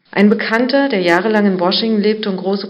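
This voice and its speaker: With noticeable background noise and audible room echo, a woman speaks at a fairly quick pace in a fairly even intonation. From East Berlin, Germany. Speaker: journalist. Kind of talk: reading aloud.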